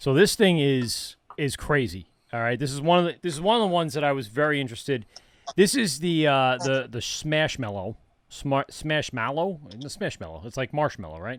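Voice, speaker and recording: The speaker, in a New York accent, uses lively intonation at a fairly quick pace. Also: man. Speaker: interviewer hosting a beer tasting. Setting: tasting a beer during a conversation.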